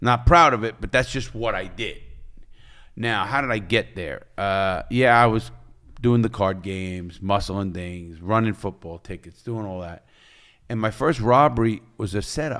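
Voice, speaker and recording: Speaking with a New York accent, a man has a fairly low pitch and a bright, sharp tone. His pace is fairly slow and his pitch variation ordinary. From New York, the Bronx. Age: 60s. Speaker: former criminal and author. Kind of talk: interview storytelling. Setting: studio.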